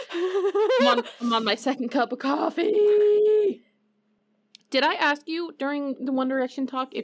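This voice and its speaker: A woman's high pitch with very wide pitch swings at a fairly slow pace. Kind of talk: casual chat. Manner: energetic.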